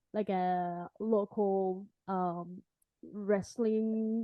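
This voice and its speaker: A woman speaks at a medium pitch in a monotone, flat way. Her pace is very slow. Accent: Spanish. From Puerto Rico. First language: Spanish. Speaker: podcast host. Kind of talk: interview.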